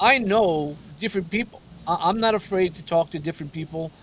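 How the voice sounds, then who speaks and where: A man speaks with a New York accent. His pitch is high. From New York City (Brooklyn). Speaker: mentor and coach. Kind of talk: interview conversation. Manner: halting, many repeated words.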